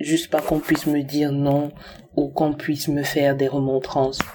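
A woman's very deep, low voice with a dark, mellow tone and monotone, flat intonation. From Cameroon. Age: 20s. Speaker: testimony contributor. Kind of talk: recorded testimony.

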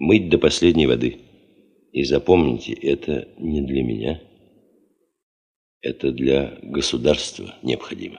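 A man speaks in a put-on character voice at an extremely low pitch, with vocal fry and a slightly husky edge. His pace is fairly slow, with long, frequent pauses and ordinary pitch variation.

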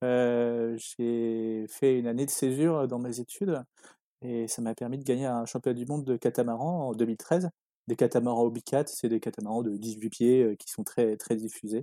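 A man with a dark, mellow tone speaks at a fairly slow pace and fairly even intonation, in a dry, close sound with no echo. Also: medium pitch for a man. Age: 20s. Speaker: sailor, catamaran racer. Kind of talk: interview. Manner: halting, many fillers.

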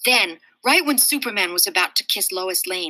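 Intonation runs lively. The delivery is a natural reading voice.

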